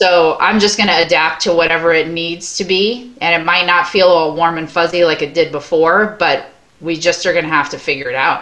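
Against noticeable background noise, a speaker with an American accent keeps a moderate pace with hardly any pauses and fairly even intonation. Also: woman, fairly low pitch for a woman. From Long Island, New York. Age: 40s. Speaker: dance studio owner. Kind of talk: casual interview.

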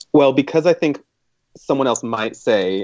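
A man's normal speaking voice at a moderate pace, lively in intonation, with a dry, close sound and no echo. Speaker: writer and illustrator. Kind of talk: casual chat.

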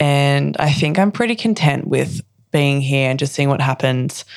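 Her pitch very deep and low, a woman talks with an Australian accent. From Australia (Queensland). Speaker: actress and poet. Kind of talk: casual interview chat. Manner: bubbly, laughing.

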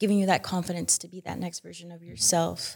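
Someone speaks at a very fast pace with an American accent. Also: woman. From US Mountain West (Utah). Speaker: financial education coach and content creator. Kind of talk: casual interview. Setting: studio.

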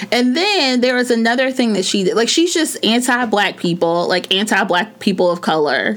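Speaking at a moderate pace with hardly any pauses, a woman uses a fairly high pitch with very wide pitch swings and very even loudness, against noticeable background noise. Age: 30s. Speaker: podcast co-host. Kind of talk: casual chat.

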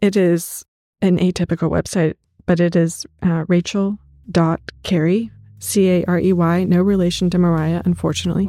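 In an American accent, a woman with a fairly low pitch speaks at a moderate pace. Her intonation is monotone and flat, and the sound is dry and close with no echo. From Kansas, US Midwest. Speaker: artist. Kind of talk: casual interview chat.

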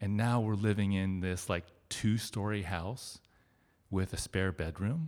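A man with a Midwestern American accent speaks at a fairly slow pace in a fairly low pitch with ordinary pitch variation, on a very clean recording with a silent background. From Ohio, Cincinnati suburb. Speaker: storyteller. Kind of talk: storytelling on stage. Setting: stage with audience.

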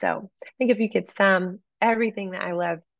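An unremarkable speaking voice moves at a moderate pace. The intonation stays fairly even. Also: woman. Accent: American. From East Texas. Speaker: worship leader and author. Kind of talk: interview conversation. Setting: video call.

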